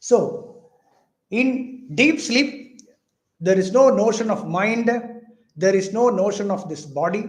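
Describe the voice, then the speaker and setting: Delivered at a very slow pace with long, frequent pauses, the speech has lively intonation and audible room echo. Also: man, high pitch for a man. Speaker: spiritual teacher. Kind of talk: lecture.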